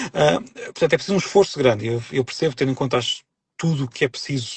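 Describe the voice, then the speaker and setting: Somewhat breathy, a man speaks very fast with very wide pitch swings. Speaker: author and linguist. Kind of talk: interview conversation on a live stream. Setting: live online broadcast. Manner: hesitant, many false starts and repetitions.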